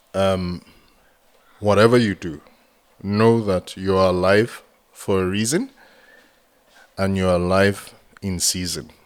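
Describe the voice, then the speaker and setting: In a Nigerian accent, a man with a very deep, low voice speaks at a fairly slow pace with fairly even intonation and long, frequent pauses. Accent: Nigerian (Yoruba) English. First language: Yoruba. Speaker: entrepreneur and mentor. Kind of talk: podcast interview.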